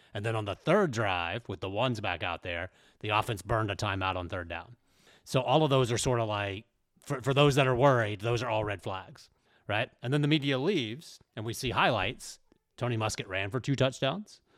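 In a very clean recording with a silent background, a man uses a plain, everyday voice at medium pitch, moderate pace and ordinary pitch variation. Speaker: sports site editor. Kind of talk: casual chat.

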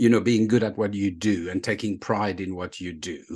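A man speaks in a fairly low voice with a French accent. The background is quiet. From Burgundy, France. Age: 50s. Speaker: leadership author and speaker. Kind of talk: casual interview chat, storytelling. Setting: video call.

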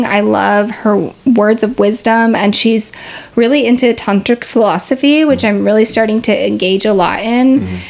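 The speaker is a woman with a fairly high pitch. Her intonation stays fairly even. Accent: Pacific Northwest. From US Pacific Northwest, Seattle. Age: 30s. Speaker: yoga teacher. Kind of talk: casual interview.

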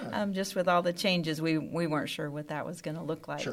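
A woman's fairly low-pitched, plain, everyday voice with fairly even intonation. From Dallas-Fort Worth, Texas (partly raised in the Philippines). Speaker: school athletic office assistant. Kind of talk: casual interview.

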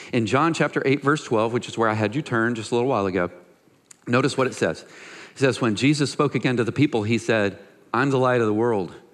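At a fairly quick pace and medium pitch, a man speaks against a quiet background in a normal speaking voice. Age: 40s. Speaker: pastor. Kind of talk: sermon.

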